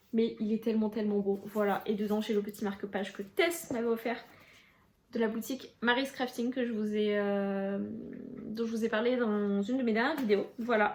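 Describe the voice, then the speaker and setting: A woman speaks at a moderate pace, somewhat breathy, with fairly even intonation. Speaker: booktuber. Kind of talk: casual vlog talk to camera. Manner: hesitant, many fillers.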